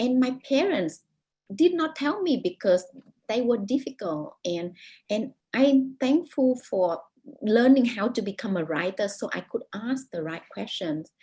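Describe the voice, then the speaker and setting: In a Vietnamese accent, this dark, mellow voice moves at a fairly slow pace with very wide pitch swings. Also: woman, fairly high pitch for a woman. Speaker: author. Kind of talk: interview. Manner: halting, many repetitions.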